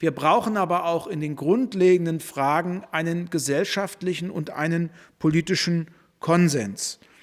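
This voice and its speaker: In a very clean recording with a silent background, a man with a high pitch speaks at a fairly slow pace with ordinary pitch variation. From Germany. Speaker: politician. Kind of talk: press statement. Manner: formal.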